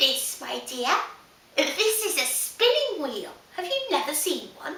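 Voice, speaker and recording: A put-on character voice with a slight echo. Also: woman, extremely high pitch for a woman, fairly slow pace. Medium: read story. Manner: sweetly deceptive.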